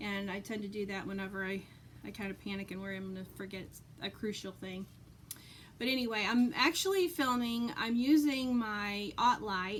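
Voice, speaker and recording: A woman speaks at a moderate pace with a medium pitch and ordinary pitch variation. Her loudness swings widely. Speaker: cross stitch vlogger. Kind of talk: casual chat. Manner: halting.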